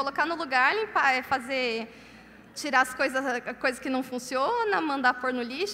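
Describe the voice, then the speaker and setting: A woman speaks in a raised, projected voice at a moderate pace. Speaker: conference speaker. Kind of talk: sermon. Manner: loud.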